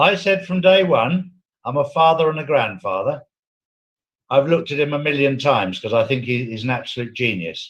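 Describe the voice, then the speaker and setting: Somewhat breathy and fairly high in pitch, a man talks at a fairly quick pace with lively intonation. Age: 60s. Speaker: former prison security specialist. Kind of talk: casual chat. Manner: animated.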